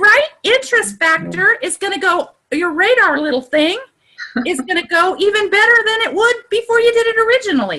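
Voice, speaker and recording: A woman's raised, projected voice at an extremely high pitch, bright and sharp in tone, at a moderate pace with very wide pitch swings. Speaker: online group coach. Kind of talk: live video call workshop. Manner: animated.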